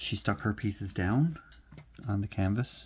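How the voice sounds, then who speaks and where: The speech moves at a very slow pace in a very clean recording with a silent background. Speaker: crafting YouTuber. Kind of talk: casual chat while crafting. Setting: home at night. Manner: subdued, quieter than usual.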